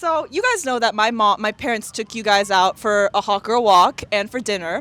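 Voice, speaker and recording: Speaking at a moderate pace, the voice comes through over noticeable background noise. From Taiwan, Taipei. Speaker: podcast host. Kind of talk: casual vlog chat with friends. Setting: outdoors at a playground by the river. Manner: voice goes up an octave, excited.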